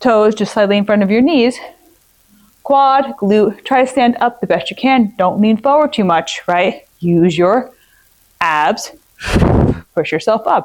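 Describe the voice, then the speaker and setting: This woman's fairly high voice has lively intonation and very even loudness, broken by long, frequent pauses. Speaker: fitness trainer. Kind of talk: tutorial. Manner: fast.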